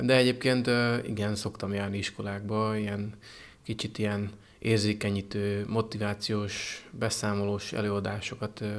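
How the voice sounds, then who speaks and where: A man speaks fairly slowly at a fairly low pitch. His intonation is monotone and flat. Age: 30s. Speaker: paratriathlete. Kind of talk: interview. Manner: halting. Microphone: handheld.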